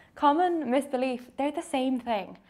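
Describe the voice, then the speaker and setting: A high-pitched woman with a southern English accent. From southern England, near Brighton. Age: 20s. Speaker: fiddle player. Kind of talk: documentary interview.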